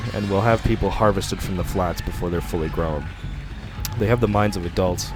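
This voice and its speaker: Over music in the background, a man speaks in a very deep, low pitch with ordinary pitch variation. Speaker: audiobook narrator. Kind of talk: horror story narration.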